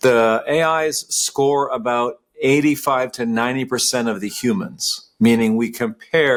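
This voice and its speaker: The speaker is a man. His pitch is medium. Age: 60s. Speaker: company CEO. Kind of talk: podcast interview. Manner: hesitant, with many fillers and repeats.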